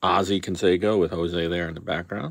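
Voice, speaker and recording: Over a quiet background, a man speaks at a moderate pace with a dry sound and no echo. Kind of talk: casual pack-opening commentary. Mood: wry, sarcastic. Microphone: phone near.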